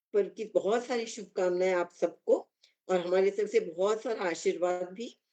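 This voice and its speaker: With a Kannada accent, a woman speaks at a medium pitch in a dark, mellow tone with fairly even intonation. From Nagpur, India. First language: Kannada (speaking Hindi). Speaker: poet. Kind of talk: speech to an online audience.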